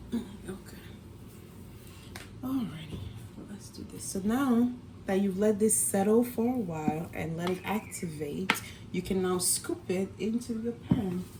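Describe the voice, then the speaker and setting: Whispering and soft-spoken, a woman talks at a fairly slow pace with big swings in loudness and long, frequent pauses over noticeable background noise. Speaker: cooking vlogger, mom. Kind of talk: cooking tutorial. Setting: home kitchen. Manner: whispering, soft-spoken; casual, chatty.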